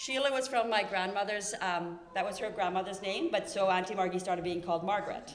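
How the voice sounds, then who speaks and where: Against noticeable background noise, a woman with a Norwegian accent speaks at a very fast pace in a medium pitch with ordinary pitch variation. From Norway. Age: 40s. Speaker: family member giving a eulogy. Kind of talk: eulogy. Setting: memorial service in a church. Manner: talkative, unscripted.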